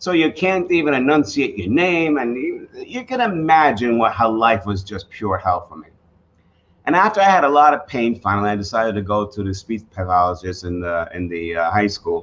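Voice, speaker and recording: Speaking at a moderate pace with a slight New York accent, a man keeps a medium pitch while his pitch swings very widely and his loudness rises and falls sharply. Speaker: professional speaker and author. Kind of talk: storytelling speech.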